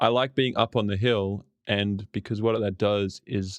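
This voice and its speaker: A man with an Australian accent, fairly low-pitched and fairly slow, with fairly even intonation and a dry, close sound with no echo. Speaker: podcast guest, podcast host. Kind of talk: casual interview chat.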